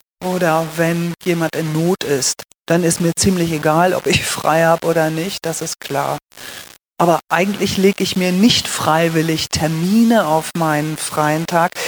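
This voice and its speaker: A woman speaks at a fairly slow pace and fairly low pitch, monotone and flat. The sound is dry and close, with no echo. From northern Germany, Lüneburg Heath. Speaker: pastor. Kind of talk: interview. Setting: church.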